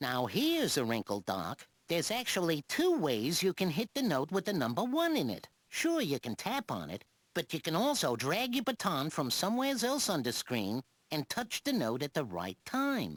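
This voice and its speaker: A put-on character voice delivers the lines at a moderate pace and a middle pitch. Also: very clean recording, silent background. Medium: video game. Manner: breezy, wisecracking.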